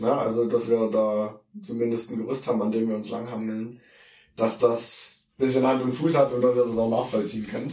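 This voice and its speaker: A man's medium-pitched voice at a moderate pace, fairly even in intonation, with audible room echo. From Saxony, Erzgebirge (Germany). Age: 20s. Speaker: theology student and youth worker, podcast co-host. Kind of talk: casual Bible discussion.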